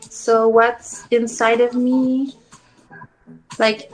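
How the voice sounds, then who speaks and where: This woman has a high-pitched voice and a French accent. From Quebec. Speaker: interviewee. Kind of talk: interview. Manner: halting.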